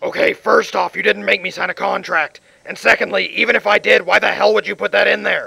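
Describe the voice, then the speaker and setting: Heard with a dry, close sound and no echo, a man talks at a fairly quick pace. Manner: exasperated, whiny, complaining.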